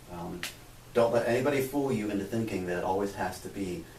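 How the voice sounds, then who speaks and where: With an American accent, a man talks at a fairly low pitch, with noticeable background noise and audible room echo. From USA. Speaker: physics lecturer and researcher. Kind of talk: interview.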